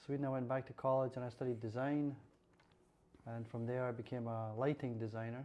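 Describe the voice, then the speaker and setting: Speaking at a fairly quick pace, a man has a dark, mellow tone, medium pitch, and fairly even intonation. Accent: Scottish. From central Scotland, near Falkirk. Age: 60s. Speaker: lighting designer. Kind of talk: interview. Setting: podcast.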